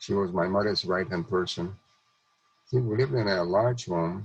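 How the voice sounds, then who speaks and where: A man's fairly low, somewhat breathy voice keeps a moderate pace, its intonation fairly even. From Czechoslovakia (Hungarian-annexed region). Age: 90s. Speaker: Holocaust survivor and speaker. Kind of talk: testimony. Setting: video call.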